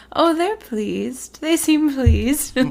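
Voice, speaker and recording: A female-sounding voice uses a put-on character voice, breathy and high-pitched. The pace is fairly slow. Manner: dreamy.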